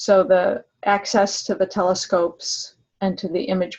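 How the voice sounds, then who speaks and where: A somewhat breathy woman's voice at a medium pitch and a fairly slow pace. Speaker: science education project leader. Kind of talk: informational webinar presentation. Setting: online webinar with shared screen.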